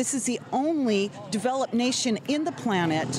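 Against noticeable background noise, a woman speaks at a moderate pace with lively intonation. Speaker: nurse. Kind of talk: street interview.

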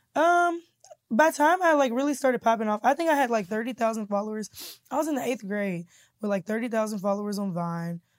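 A woman with an American accent, fairly high pitch, very wide pitch swings and a very fast pace, on a very clean recording with a silent background. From Kansas City, Missouri. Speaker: comedian and YouTuber. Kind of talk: casual interview.

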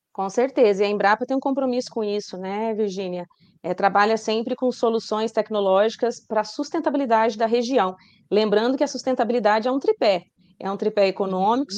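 Fairly quick, fairly high-pitched speech from a woman, an unremarkable speaking voice with ordinary pitch variation and a quiet background. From Rondônia, Brazil. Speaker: journalist and science communicator. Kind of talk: interview.

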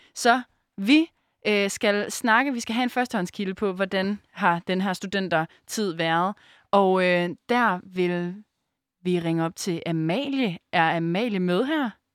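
A woman's medium-pitched voice at a very slow pace with ordinary pitch variation, dry and close with no echo, on a very clean recording with a silent background. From Denmark, Aarhus. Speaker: radio host. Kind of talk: casual chat.

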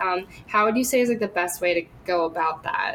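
The speaker talks at a moderate pace. Noticeable background noise is heard. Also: woman. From US Northeast. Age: 20s. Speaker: university student. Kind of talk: casual interview.

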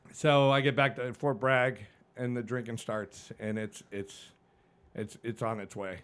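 At a fairly slow pace, a man with an unremarkable speaking voice talks at medium pitch on a very clean recording with a silent background. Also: fairly even intonation. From New England, Suffield, Connecticut. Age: 50s. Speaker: fire captain and army veteran. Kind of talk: casual interview, life story.

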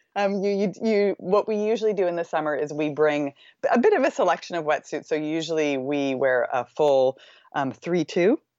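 With a Maritime Canadian accent, a woman with a fairly low pitch talks at a moderate pace using lively intonation. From Canada, Nova Scotia eastern shore. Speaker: surf travel business co-founder. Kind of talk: interview. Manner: energetic; hesitant fillers (um).

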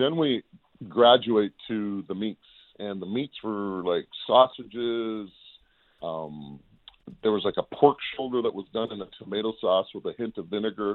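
Here is an unremarkable speaking voice from a man, fairly low in pitch with ordinary pitch variation. He talks at a fairly slow pace. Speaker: football analyst. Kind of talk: casual sports chat. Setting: phone call.

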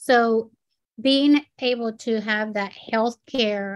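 Captured on a very clean recording with a silent background, a woman speaks at a fairly high pitch with fairly even intonation. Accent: Spanish. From Puerto Rico. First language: Spanish. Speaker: nonprofit executive director. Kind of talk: interview.

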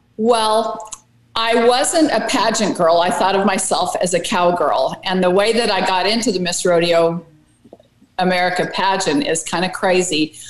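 Noticeable background noise sits under a woman whose pitch varies in an ordinary way. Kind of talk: casual interview chat, storytelling. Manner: chatty, upbeat.

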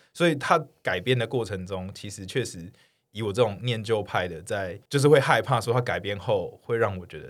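A man talks at a moderate pace in a fairly low pitch with lively intonation. His loudness swings widely, and the recording is very clean with a silent background. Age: 30s. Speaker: guest co-host. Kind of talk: casual chat.

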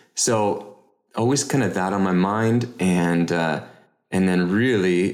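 A man with a very deep, low pitch and a Canadian accent, with audible room echo. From Canada (Toronto area). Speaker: real estate investor. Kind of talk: interview.

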